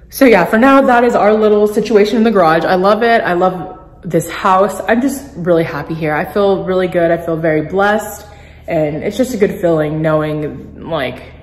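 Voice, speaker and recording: With audible room echo around her, a woman talks at a moderate pace and varies her pitch in an ordinary way. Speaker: vlogger. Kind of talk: casual vlog chat. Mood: happy, content. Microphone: phone near.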